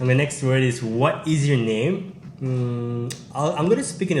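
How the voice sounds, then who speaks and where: With ordinary pitch variation at medium pitch, a man talks amid audible room echo. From Manipur, northeast India. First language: Manipuri. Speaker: YouTuber hosting language exchange. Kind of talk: video intro in Manipuri; casual language-teaching game. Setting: university campus.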